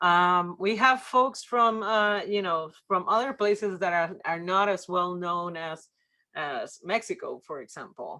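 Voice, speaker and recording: On a very clean recording with a silent background, a woman with a slight Puerto Rican accent speaks fairly slowly in a bright, sharp tone at medium pitch, with ordinary pitch variation. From Puerto Rico. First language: Spanish. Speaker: workshop presenter on church ministry. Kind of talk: workshop presentation. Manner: many filler words and hesitations.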